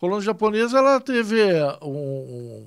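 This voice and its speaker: The man's pitch leaps up and down dramatically as he talks rather slowly. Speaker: podcast host. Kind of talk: podcast host conversation.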